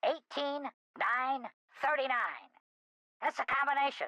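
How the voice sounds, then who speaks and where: At a moderate pace, the speaker performs a put-on character voice. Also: female-sounding voice, high pitch for a woman. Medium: video game. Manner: gruff, folksy.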